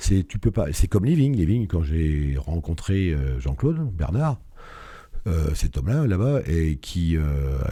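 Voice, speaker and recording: A man's very deep, low voice, dark and mellow, somewhat breathy, with lively intonation at a fairly slow pace. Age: 60s. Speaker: entrepreneur, business founder. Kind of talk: interview. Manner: hesitant, many fillers.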